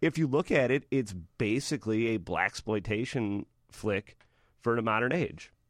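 In an unremarkable speaking voice, a man at a medium pitch talks at a moderate pace with ordinary pitch variation and very even loudness, the sound dry and close with no echo over a quiet background. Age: 30s. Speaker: film critic. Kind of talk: casual chat.

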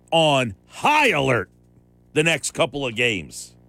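Music plays in the background as the voice moves at a fairly slow pace. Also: man. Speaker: sports radio host. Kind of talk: sports talk radio. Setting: radio studio. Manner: animated.

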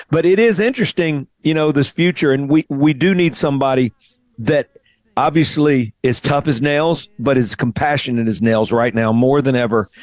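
This man has a Southern US accent and a fairly high pitch, speaking at a moderate pace with ordinary pitch variation. His loudness stays very even, and the sound is dry and close with no echo. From Mississippi (Greenville). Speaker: radio host and singer-songwriter. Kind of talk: interview.

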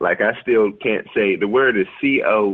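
With a Southern US accent, a man speaks at a fairly low pitch and ordinary pitch variation. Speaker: comedian. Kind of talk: casual chat.

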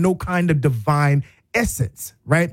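At a fairly slow pace, the speaker sounds animated, with lively intonation. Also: man. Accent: American. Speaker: radio talk show host. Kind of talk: radio talk show monologue. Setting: radio studio.

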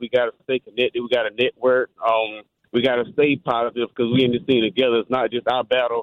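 The speaker talks at a very fast pace with an American accent. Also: man. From North Carolina, US South. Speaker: caller. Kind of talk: casual chat. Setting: phone call.

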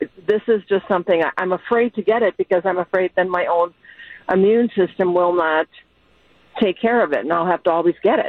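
This woman has an unremarkable speaking voice at a medium pitch, with ordinary pitch variation and a fairly quick pace. Her loudness stays very even. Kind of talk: casual chat.

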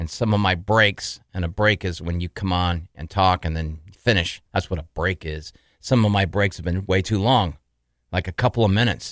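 The recording has a dry, close sound with no echo. A man talks at a moderate pace with a very deep, low pitch and ordinary pitch variation. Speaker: radio host and podcaster in recovery. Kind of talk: personal podcast monologue about sobriety. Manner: halting, with fillers.

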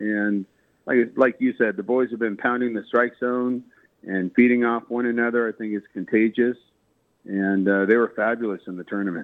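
In an unremarkable speaking voice, a man talks at a moderate pace with medium pitch and fairly even intonation. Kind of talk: radio interview.

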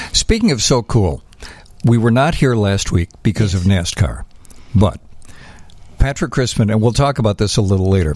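This man's fairly low voice carries lively intonation at a moderate pace, holding very even loudness and breaking into long, frequent pauses. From Chicago. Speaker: radio host. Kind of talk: casual chat. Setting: studio.

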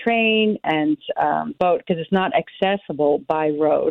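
Here is a woman with a plain, everyday voice and an American accent, speaking at a fairly slow pace. Her fairly low pitch shows ordinary variation. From United States. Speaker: tour director. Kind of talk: radio interview.

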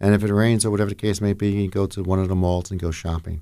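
Very deep and low, a man's dark, mellow voice carries a New Jersey accent and fairly even intonation. He talks at a very fast pace on a very clean recording with a silent background. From northern New Jersey, Jersey City. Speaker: county commissioner. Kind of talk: radio interview.

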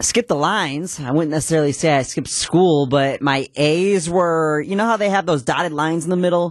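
In an ordinary speaking voice, a fairly high-pitched man talks at a fairly quick pace with hardly any pauses and ordinary pitch variation against a quiet background. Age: young. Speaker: radio show producer. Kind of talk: live radio talk show. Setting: radio studio.

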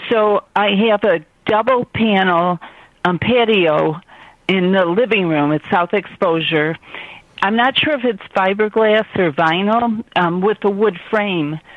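A woman with an American accent uses a normal speaking voice at a medium pitch, with ordinary pitch variation and a fairly slow pace. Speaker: caller. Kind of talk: radio call-in, describing a home problem. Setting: phone call.

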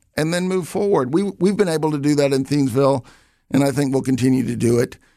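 A man talks in a Southern US accent with ordinary pitch variation. His tone is dark and mellow. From US South, Alabama. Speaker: retiring village president. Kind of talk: radio interview. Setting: studio. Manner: halting.

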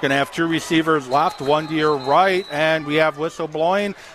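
Speaking fairly high for a man, this male voice comes through over noticeable background noise. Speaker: radio sports play-by-play announcer. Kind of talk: live sports commentary, play-by-play. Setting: broadcast booth at a football stadium.

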